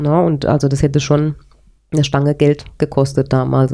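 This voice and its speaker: A woman speaks at a moderate pace. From Palatinate, Germany (Speyer area), later childhood in Paraguay. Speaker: interviewee sharing her life story. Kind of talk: personal life story in a casual interview.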